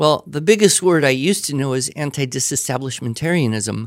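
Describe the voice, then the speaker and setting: This is a man with an unremarkable speaking voice at medium pitch and lively intonation. The recording is very clean, with a silent background. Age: 50s. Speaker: writing teacher. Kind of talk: Q&A with students.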